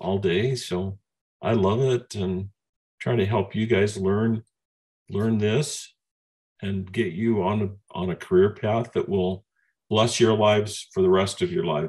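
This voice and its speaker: A man's fairly low, fairly slow voice with ordinary pitch variation and long, frequent pauses. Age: 60s. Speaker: coding training company leader. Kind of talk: Q&A in online training session. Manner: halting, with false starts.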